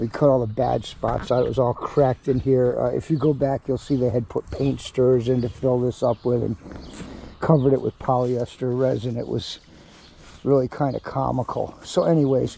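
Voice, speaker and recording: A quiet, medium-pitched male voice at a fairly quick pace, with monotone, flat intonation, over noticeable background noise. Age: 60s. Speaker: DIY boat repair youtuber. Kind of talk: tutorial. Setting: outdoors in backyard, humid. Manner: hesitant, many fillers and repeated words; trying to be quiet.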